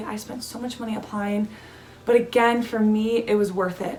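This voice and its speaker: Over noticeable background noise and audible room echo, a woman with an American accent talks at a fairly high pitch. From California. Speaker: student vlogger. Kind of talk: casual advice vlog. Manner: casual, many fillers.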